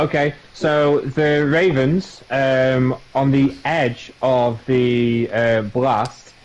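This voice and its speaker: A man with a Yorkshire accent and medium pitch speaks at a very slow pace with hardly any pauses, very even loudness and fairly even intonation, with noticeable background noise behind him. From Yorkshire, northern England. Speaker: gamer streamer. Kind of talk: casual chat.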